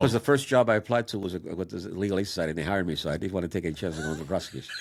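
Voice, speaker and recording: Talking at a very fast pace, a man with a New York accent has a very deep, low pitch. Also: ordinary pitch variation. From Puerto Rico, raised in New York City. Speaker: defense attorney. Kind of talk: interview answer.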